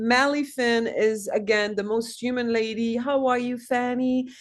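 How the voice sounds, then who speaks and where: A woman with a French accent speaks at a moderate pace and a fairly high pitch against a quiet background. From France. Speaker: actress. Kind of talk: casual chat. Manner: animated.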